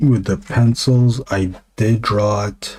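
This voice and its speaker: A man whispers quietly. His voice is somewhat breathy. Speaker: comic illustrator streaming while drawing. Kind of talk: casual live-stream talk while drawing. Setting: live stream. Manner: quiet, near whisper; halting, many fillers.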